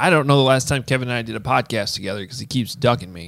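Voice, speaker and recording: This very clean recording with a silent background features a man speaking at a medium pitch. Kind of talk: casual chat.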